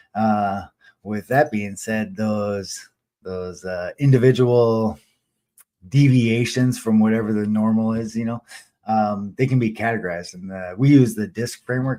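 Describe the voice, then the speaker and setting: Speaking at a medium pitch, a man uses a dark, mellow tone with fairly even intonation. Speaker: newsletter author and live stream host. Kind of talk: live stream monologue. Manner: fast; halting, many fillers and restarts.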